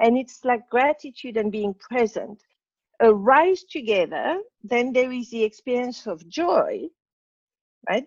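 A woman speaks with a French accent and very wide pitch swings. The sound is dry and close, with no echo. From Morocco. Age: 60s. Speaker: spiritual teacher. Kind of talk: interview.

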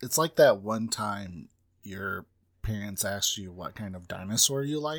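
A man with a fairly low pitch talks at a moderate pace, with an ordinary speaking voice. His intonation is lively and his loudness swings widely, on a very clean recording with a silent background. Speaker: podcast co-host. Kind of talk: casual comedic banter.

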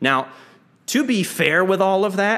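Moderate pacing from a male voice with an American accent. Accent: slight Southern twinge at most. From Texas, Lake Jackson near Houston. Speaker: percussionist and music educator. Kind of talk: interview conversation. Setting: video call.

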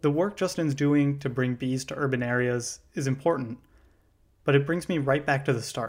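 Recorded very cleanly against a silent background, a man has an unremarkable speaking voice, fairly high in pitch. He talks at a moderate pace with ordinary pitch variation. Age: 20s. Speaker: podcast host and first-year beekeeper. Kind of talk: scripted narration.

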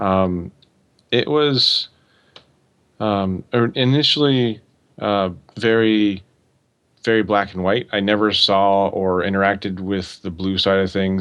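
At a fairly slow pace, a man with an American accent uses an ordinary speaking voice, fairly low in pitch with fairly even intonation. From US Pacific Northwest (Oregon). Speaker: security professional (red teamer). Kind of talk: casual interview.

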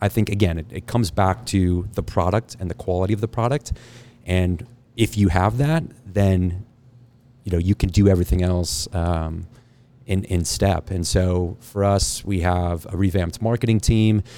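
Speaking at a moderate pace, the man has a very deep, low pitch, a dark, mellow tone, and ordinary pitch variation. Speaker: winery owner. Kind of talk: casual chat. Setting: winery, in person.

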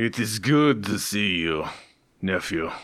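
In a raspy, put-on character voice, a man talks at a fairly slow pace with a fairly low pitch and lively intonation. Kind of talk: formal aristocratic speech. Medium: actual play. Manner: formal, pompous.

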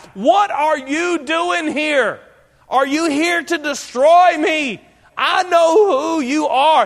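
Using a put-on character voice, a man speaks loudly and very slowly, extremely high-pitched and shrill. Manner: loud, fearful, defensive.

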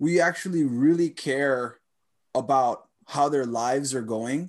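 A man with a normal speaking voice and fairly high pitch talks with ordinary pitch variation. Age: 30s. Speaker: podcast host, martial artist and ESL teacher. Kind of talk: interview. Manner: casual, laughs often.

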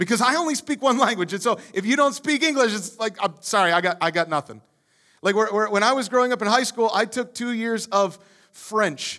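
A raised, projected voice at a fairly quick pace, on a very clean recording with a silent background. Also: man. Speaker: pastor. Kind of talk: sermon. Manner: frequent stammered repetitions.

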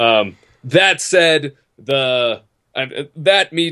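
A man with a plain, everyday voice uses lively intonation against a quiet background. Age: 30s. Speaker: podcast co-host. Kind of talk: casual chat.

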